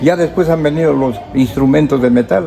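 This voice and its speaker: Amid crowd noise and audible room echo, a man talks at a medium pitch. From Peru, Otuzco (La Libertad highlands). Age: 80s+. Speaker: local historian. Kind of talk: interview.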